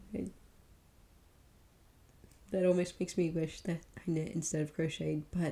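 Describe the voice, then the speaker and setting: The speaker is soft-spoken. The pace is moderate. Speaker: ASMR creator; parent. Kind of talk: ASMR catalog reading.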